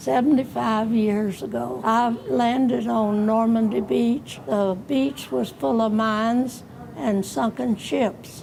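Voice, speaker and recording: Woman's fairly high voice at a very slow pace, very wide pitch swings, hardly any pauses, noticeable background noise. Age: 80s+. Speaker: WWII veteran, former army nurse. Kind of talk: interview answer.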